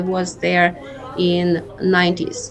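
Over noticeable background noise, a woman with a Ukrainian accent speaks at medium pitch. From Ukraine. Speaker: school principal. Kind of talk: interview.

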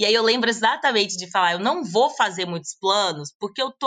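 The speech moves at a moderate pace. Its tone is bright and sharp. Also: woman. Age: 20s. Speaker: digital nomad and content creator. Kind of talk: casual interview chat.

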